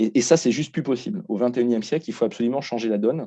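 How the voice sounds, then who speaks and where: Over a quiet background, a man talks at medium pitch with ordinary pitch variation. His tone is dark and mellow. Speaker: CSR consultant, conference speaker. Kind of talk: lecture. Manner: fast; hesitant, many fillers.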